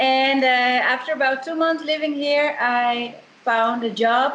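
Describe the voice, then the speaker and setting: A high-pitched woman's voice with a Dutch accent, ordinary pitch variation and a moderate pace. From Netherlands, Amsterdam. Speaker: eco tour company co-founder. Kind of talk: interview conversation.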